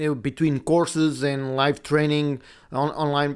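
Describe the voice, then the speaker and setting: A man speaks at a fairly high pitch. The recording is very clean with a silent background. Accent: Portuguese. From Portugal. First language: Portuguese. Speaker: podcast host and video editing teacher. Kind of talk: casual monologue. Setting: home recording setup. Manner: halting.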